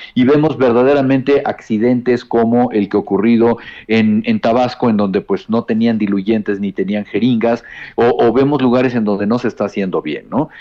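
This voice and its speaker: In a normal speaking voice, a man talks at medium pitch and a moderate pace, his pitch varying in an ordinary way. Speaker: health policy specialist. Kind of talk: interview. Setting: phone call. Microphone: bad connection.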